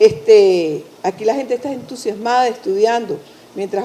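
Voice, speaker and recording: Noticeable background noise accompanies a woman whose voice is fairly high-pitched. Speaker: university director. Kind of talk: event introduction. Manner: halting.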